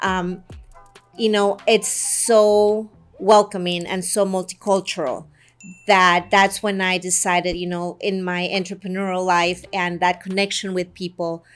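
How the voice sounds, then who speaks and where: Music plays in the background as a woman speaks at a fairly slow pace. Her pitch is medium and her intonation monotone and flat. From Guatemala. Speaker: real estate agent. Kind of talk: promotional talk to camera.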